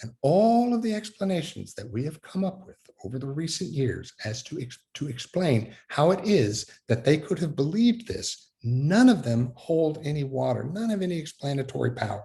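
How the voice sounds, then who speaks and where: In an American accent, a man with a dark, mellow tone talks with hardly any pauses, his pitch swinging very widely. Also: fairly high pitch for a man, moderate pace. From Fort Worth, Texas. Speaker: Methodist minister. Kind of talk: talk on faith.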